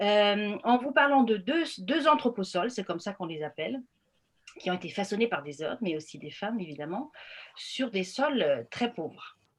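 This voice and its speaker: A woman talks at a moderate pace at a medium pitch. Her pitch swings very widely and her loudness shifts greatly. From northern Germany, Friesland. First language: Frisian/German (speaking French). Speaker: anthropologist. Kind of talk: lecture. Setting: video call. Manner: hesitant, many fillers.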